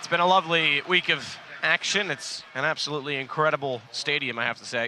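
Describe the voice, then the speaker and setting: A man speaks at a fairly quick pace in a fairly high pitch, with ordinary pitch variation and noticeable background noise. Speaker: esports caster. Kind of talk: live commentary. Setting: live event arena.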